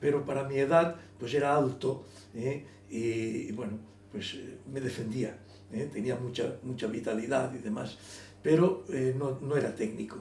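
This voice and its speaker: There is audible room echo as a man speaks at a medium pitch. His pace is moderate, broken by long, frequent pauses. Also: ordinary pitch variation. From Elche, Valencian Community, Spain. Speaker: writer. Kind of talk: interview. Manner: halting, repetitive.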